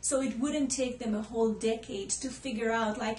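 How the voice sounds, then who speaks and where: This woman has an Israeli accent and a fairly high pitch. Her intonation stays fairly even. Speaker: holistic healer. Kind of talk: personal story to camera.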